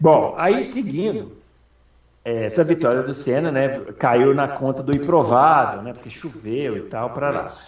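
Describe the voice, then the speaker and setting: Audible room echo surrounds a man who speaks at a fairly slow pace with a fairly high pitch and ordinary pitch variation. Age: 40s. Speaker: motorsport podcast host. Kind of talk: casual chat.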